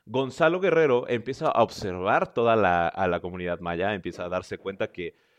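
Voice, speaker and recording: Against a quiet background, a man with a central Mexican accent speaks at a moderate pace in a fairly low, animated voice whose pitch swings very widely. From central Mexico. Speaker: history podcast host. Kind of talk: casual storytelling monologue.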